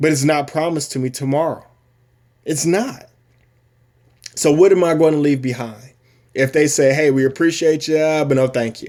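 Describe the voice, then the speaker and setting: Pausing long and often, a man speaks at a moderate pace with fairly high pitch and fairly even intonation. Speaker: active duty military member promoting a business. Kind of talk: personal testimony and sales pitch video. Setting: recorded at home, wife downstairs. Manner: loud; long-winded, emphatic.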